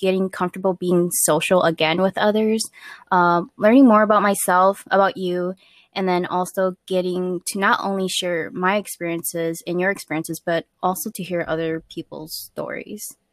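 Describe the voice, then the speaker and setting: A woman with a medium pitch speaks at a moderate pace with ordinary pitch variation, in a normal speaking voice. The very clean recording has a silent background and a dry, close sound with no echo. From Minnesota, Twin Cities. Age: 20s. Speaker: podcast co-host. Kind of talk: casual chat.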